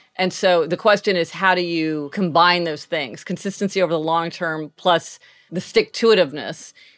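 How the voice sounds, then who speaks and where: With a normal speaking voice, a woman talks at a moderate pace with a fairly low pitch and fairly even intonation. The recording is very clean and the background silent. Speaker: podcast host. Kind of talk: casual chat. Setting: home office.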